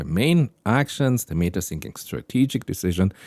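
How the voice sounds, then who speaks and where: In a very clean recording with a silent background and a dry, close sound with no echo, a man with a fairly low pitch talks at a moderate pace with a non-native accent. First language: not English. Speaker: AI explainer video creator. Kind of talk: explanatory tech talk. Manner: thinking aloud with hesitations.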